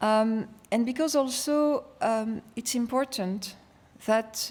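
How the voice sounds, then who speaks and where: Her voice sits fairly high, with ordinary pitch variation. The recording of this woman is very clean, with a silent background. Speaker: EU official. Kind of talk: conference speech.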